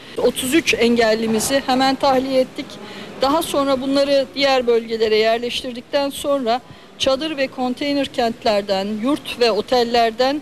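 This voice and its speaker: A woman's high-pitched voice at a fairly slow pace, with light background noise. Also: fairly even intonation. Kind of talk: press statement. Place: hall. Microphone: handheld.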